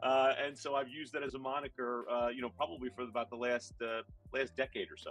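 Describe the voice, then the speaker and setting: Over music in the background, a man speaks very fast at a medium pitch with fairly even intonation. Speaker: connector company solutions engineer. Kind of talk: interview.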